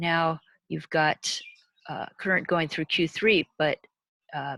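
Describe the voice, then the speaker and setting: A woman's fairly low voice with a bright, sharp tone, in a very clean recording with a silent background. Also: dry, close sound with no echo. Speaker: university lecturer. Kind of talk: lecture.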